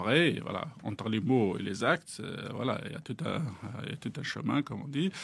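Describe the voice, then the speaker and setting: This man talks at a moderate pace, his medium-pitched voice carrying lively intonation. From Algeria, Kabylie. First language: Kabyle (speaking French). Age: young. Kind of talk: interview testimony. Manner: hesitant, many fillers.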